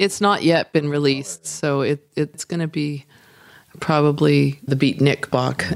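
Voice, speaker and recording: At a fairly slow pace, a woman talks with a very deep, low pitch and ordinary variation. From Netherlands. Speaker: artist and brewery co-owner. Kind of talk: casual interview.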